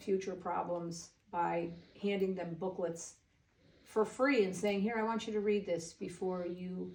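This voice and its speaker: Someone speaks with an American accent at a moderate pace. Pitch varies in an ordinary way, with audible room echo. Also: woman. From Waterbury, Connecticut. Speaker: nurse and hairdresser. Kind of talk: interview chat. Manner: animated.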